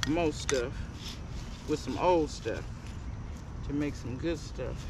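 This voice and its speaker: The sound is dry with no echo. Noticeable background noise is present. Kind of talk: casual vlog chat. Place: garden.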